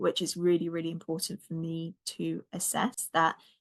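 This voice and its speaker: Over a quiet background, a woman with a British accent speaks at a fairly slow pace in a fairly low pitch. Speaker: anxiety coach, podcast host. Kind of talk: podcast outro with program pitch.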